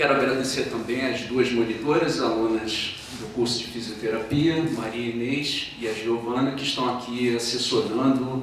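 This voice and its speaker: Spoken in a Rio de Janeiro accent at a fairly slow pace with fairly even intonation, the voice comes through noticeable background noise and audible room echo. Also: man. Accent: carioca, hissing sibilants. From Rio de Janeiro, Brazil. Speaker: philosophy professor. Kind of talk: lecture.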